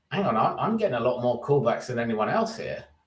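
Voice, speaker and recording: Talking at a fairly quick pace with a British accent, a man uses a fairly high pitch and very wide pitch swings. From England. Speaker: recruitment business executive. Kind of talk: interview. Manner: halting.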